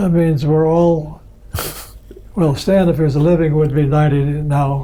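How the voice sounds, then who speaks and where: A man with an American accent, a fairly high pitch, fairly even intonation, very even loudness and a fairly slow pace, with audible room echo. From US Midwest, Michigan. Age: 80s+. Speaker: computer pioneer. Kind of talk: oral history interview. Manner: halting.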